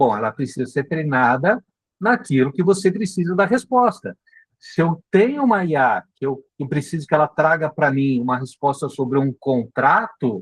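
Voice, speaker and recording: A somewhat breathy man's voice at a fairly high pitch, with very wide pitch swings, a moderate pace and a dry, close sound with no echo. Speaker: marketing instructor. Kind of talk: live online class. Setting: live video meeting.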